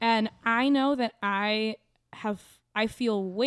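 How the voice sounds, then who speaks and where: A woman with an American accent and a plain, everyday voice, fairly high in pitch with fairly even intonation. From Kansas, Topeka. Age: 20s. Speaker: comedian. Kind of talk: casual chat. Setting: studio.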